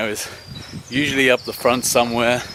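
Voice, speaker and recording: A man with a British accent speaks at a moderate pace in a medium pitch. His intonation is monotone and flat, with noticeable background noise behind him. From UK. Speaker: running vlogger, scuba dive instructor. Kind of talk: casual vlog talk. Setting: outdoors in a forest.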